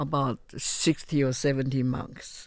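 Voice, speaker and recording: In a Chinese accent, a woman speaks fairly slowly with a very deep, low pitch and monotone, flat intonation. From Taiwan, Chiayi (south). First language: Mandarin Chinese. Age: 70s. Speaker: retired teacher and businesswoman. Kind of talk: interview. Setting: studio.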